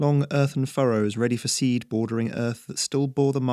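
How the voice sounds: The reading voice sounds natural. Intonation is fairly even throughout.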